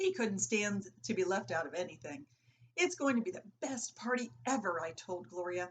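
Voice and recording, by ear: Someone reads aloud here in a natural voice.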